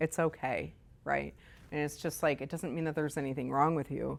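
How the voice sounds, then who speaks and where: The recording is very clean, with a silent background. A woman with a General American accent speaks at a very deep, low pitch. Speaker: meditation teacher. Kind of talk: dharma talk to a class. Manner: loud; casual, animated.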